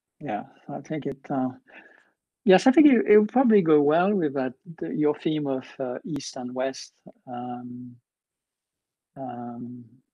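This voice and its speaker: Against a quiet background, a man with a slight French accent speaks at a fairly slow pace with long, frequent pauses. His fairly high voice has a dark, mellow tone and lively intonation. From France. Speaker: professor, keynote speaker. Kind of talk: casual chat. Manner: halting, many fillers.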